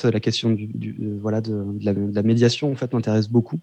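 A man's dark, mellow voice at medium pitch and moderate pace over a quiet background. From Réunion until age 7, then mainland France. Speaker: musician. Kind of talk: interview.

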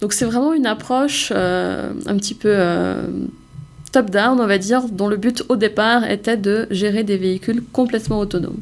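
A woman talks at a medium pitch and moderate pace, with very even loudness. Her intonation is fairly even, with noticeable background noise behind her. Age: 20s. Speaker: startup co-founder. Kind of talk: interview.

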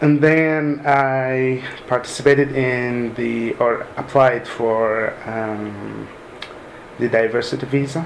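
Pitched at a medium level, a man speaks at a very slow pace. The room echo is audible and background noise noticeable. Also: fairly even intonation. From Sudan. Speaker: software developer. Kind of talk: interview. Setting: mosque. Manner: halting.

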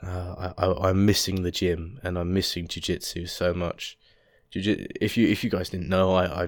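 In an English accent, a man with a very deep, low pitch talks at a moderate pace in a very clean recording with a silent background. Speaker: podcast host. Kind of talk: casual solo monologue. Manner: halting, many fillers.

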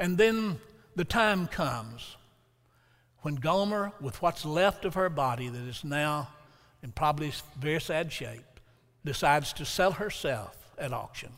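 A man with an Alabama accent and a fairly high pitch speaks at a fairly slow pace with lively intonation, leaving long, frequent pauses. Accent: Southern US (Alabama). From US South. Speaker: preacher. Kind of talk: sermon. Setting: church with congregation.

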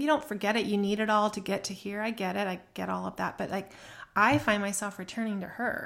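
A woman with a normal speaking voice talks at a medium pitch and a fairly quick pace, her intonation fairly even. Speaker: podcast co-host. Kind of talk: casual chat. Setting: home recording, remote.

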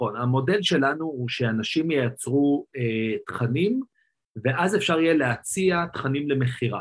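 A man's fairly high voice, a normal speaking voice, with ordinary pitch variation at a fairly slow pace. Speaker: tech entrepreneur. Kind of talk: interview.

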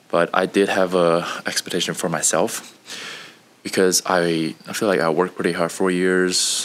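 Over noticeable background noise, a man speaks in a very deep, low voice. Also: long, frequent pauses. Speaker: engineer, recent graduate. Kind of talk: casual interview. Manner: halting, with fillers.

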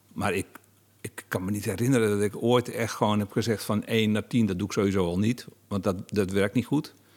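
A man with an unremarkable speaking voice talks at a moderate pace, pitched fairly low with ordinary pitch variation. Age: 50s. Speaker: novelist and interviewer. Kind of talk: interview conversation.

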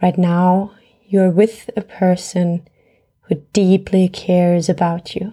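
Very slowly and with monotone, flat intonation, a woman at medium pitch speaks in a dark, mellow, soothing and calm tone. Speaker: meditation guide. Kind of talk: guided meditation. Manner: soft, slow, soothing, calm and gentle; warm, unhurried, with long pauses.

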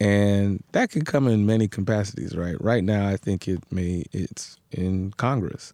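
In an American accent, a man with a fairly low pitch and a dark, mellow tone speaks at a fairly slow pace. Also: ordinary pitch variation. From New York City, Queens. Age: 30s. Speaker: congressional candidate. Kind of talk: casual interview.

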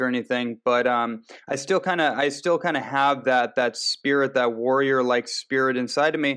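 In an unremarkable speaking voice, a man talks at a fairly quick pace with a medium pitch and fairly even intonation. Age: 30s. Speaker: nutritionist and transformation coach. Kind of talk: interview.

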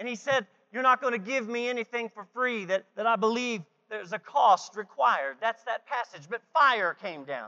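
Lively intonation marks this man's speech at a moderate pace. His pitch is extremely high. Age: 40s. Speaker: guest preacher. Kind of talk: sermon. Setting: church. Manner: animated.

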